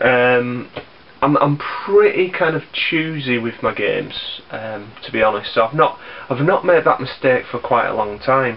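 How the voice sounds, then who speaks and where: With noticeable background noise behind him, a man talks at a fairly slow pace, his fairly high pitch carried by lively intonation. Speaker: YouTuber, gaming vlogger. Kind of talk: casual vlog. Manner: halting, many ums and repeats.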